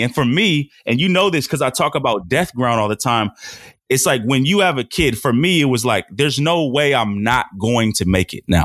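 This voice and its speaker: In an ordinary speaking voice with an American accent, a man talks at a moderate pace and medium pitch with lively intonation. The recording is very clean, with a silent background and a dry, close sound with no echo. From Portland, Oregon. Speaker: former football player and mentorship coach. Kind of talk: casual interview.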